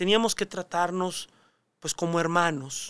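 On a very clean recording with a silent background and a dry, close sound with no echo, a man speaks at a high pitch with fairly even intonation. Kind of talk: casual interview.

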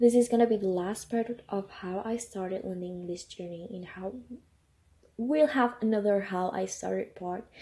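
A woman's dark, mellow, somewhat breathy voice at medium pitch, with a non-native accent and a moderate pace. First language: not English. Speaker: podcaster. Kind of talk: casual personal podcast monologue.

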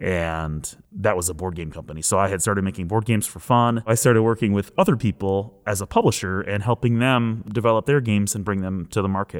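A man with an American accent at a fairly quick pace, pitch moving in an ordinary way. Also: very clean recording, silent background. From Flint, Michigan area, US Midwest. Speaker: board game designer. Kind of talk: personal testimony interview.

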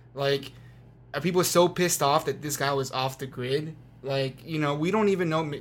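This man talks in an animated tone with an American accent. His pitch is fairly high and his pace moderate. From Las Vegas, Nevada, US. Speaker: witness of a mass shooting. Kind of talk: casual chat.

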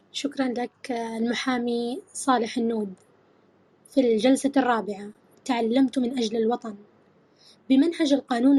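Speaking at a fairly slow pace, a woman has a high pitch, a dark, mellow tone and ordinary pitch variation. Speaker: interviewer. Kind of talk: formal interview questions.

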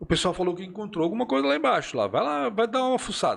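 A man speaks with very wide swings in pitch. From Chile. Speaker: journalist. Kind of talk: casual chat.

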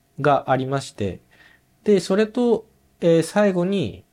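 In a very clean recording with a silent background, a man talks. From Japan, Nagoya. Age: 30s. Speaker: orthopedic shoemaker apprentice. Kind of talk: casual chat.

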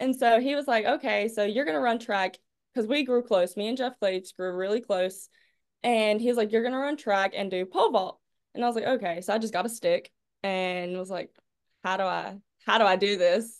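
A woman speaks with a Southern US accent at a fairly quick pace. Her pitch is fairly high. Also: ordinary pitch variation. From North Carolina, Clinton. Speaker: college pole vaulter. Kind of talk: interview.

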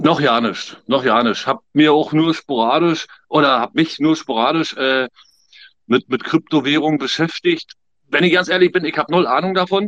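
A man talks at a moderate pace with ordinary pitch variation in a dry, close sound with no echo. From Germany. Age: 50s. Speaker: emigrant. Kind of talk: casual chat.

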